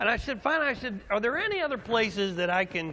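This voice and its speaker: With very wide pitch swings, a man speaks in a raised, projected voice, his tone animated, bright and sharp. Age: 60s. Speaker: pastor. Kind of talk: sermon. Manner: animated storytelling.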